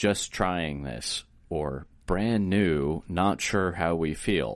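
The speaker is a man. The recording is very clean, with a silent background. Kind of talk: casual chat, informational.

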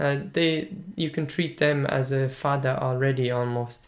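A man with an Irish accent speaks at a fairly slow pace. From Ireland (Munster). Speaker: language teaching podcast host. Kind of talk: casual podcast monologue.

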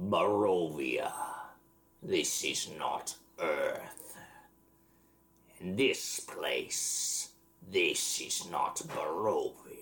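In a raspy, put-on character voice, a man speaks at a very slow pace with long, frequent pauses. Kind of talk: formal archaic speech. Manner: cold, menacing, archaic.

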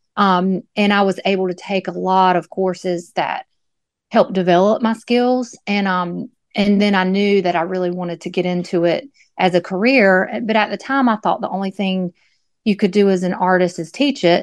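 A woman speaks in an unremarkable speaking voice with an American accent, at medium pitch and a moderate pace. Her intonation is fairly even, and the sound is dry and close with no echo over a quiet background. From US South, North Carolina (Moore County). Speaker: artist. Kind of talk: interview.

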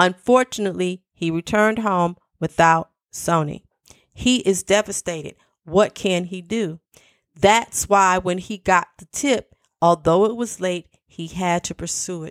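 A woman with a plain, everyday voice speaks at a fairly slow pace and medium pitch, with ordinary pitch variation and big swings in loudness on a very clean recording with a silent background. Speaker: podcast host. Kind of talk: true-crime narration, read aloud from news reports in a steady, solemn storytelling tone. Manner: earnest, deliberate, with emotional asides.

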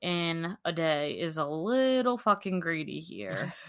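In a very clean recording with a silent background, a woman with an ordinary speaking voice speaks at a fairly low pitch. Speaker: true crime podcast host. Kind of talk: true-crime narration mixed with casual banter. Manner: irreverent, profane, casual.

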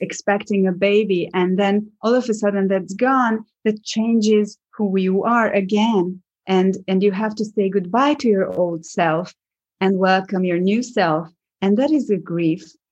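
A woman's medium-pitched voice in a Hungarian accent, at a fairly slow pace, with very even loudness and ordinary pitch variation, over a quiet background. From Hungary, small village. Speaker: actress and acting coach. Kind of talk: interview. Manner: halting.

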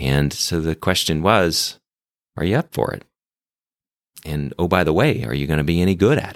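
A man with a very deep, low pitch and vocal fry speaks with lively intonation and long, frequent pauses. The recording is very clean, the background silent. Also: moderate pace. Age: 50s. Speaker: physician and hospital leader. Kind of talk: interview storytelling.

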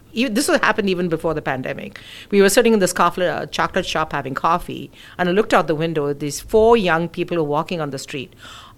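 The delivery comes at a very fast pace with lively intonation. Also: woman, fairly low pitch for a woman. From India. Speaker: immigration and estate planning attorney. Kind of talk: interview.

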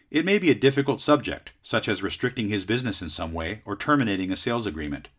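In a very clean recording with a silent background, a man with a fairly low pitch and a Southern Californian accent talks very fast. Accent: Southern California American. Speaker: podcast host and sales advisor. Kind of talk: scripted educational talk.

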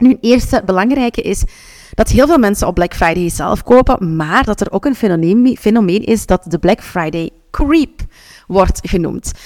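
A woman speaks in a Flemish accent at a moderate pace. Her intonation is lively. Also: medium pitch for a woman. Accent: Flemish Dutch. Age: 30s. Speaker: podcast host and business coach. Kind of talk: solo podcast tips talk. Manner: animated.

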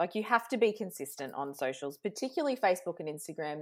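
With an Australian accent, a woman speaks at a fairly quick pace with very wide pitch swings and vocal fry, in a very clean recording with a silent background. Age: 40s. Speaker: social media coach. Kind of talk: casual interview.

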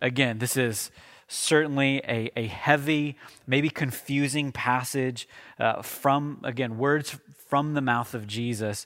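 A man's medium-pitched voice, fairly even in intonation, at a very slow pace, in a very clean recording over a silent background. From Oklahoma. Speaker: pastor. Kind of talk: sermon. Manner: halting, frequent fillers and restarts.

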